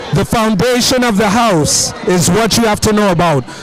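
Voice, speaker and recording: Pitch variation is ordinary, and there is noticeable background noise behind the voice. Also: man. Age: 40s. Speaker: event reporter. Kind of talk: on-location interview. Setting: outdoors at festival.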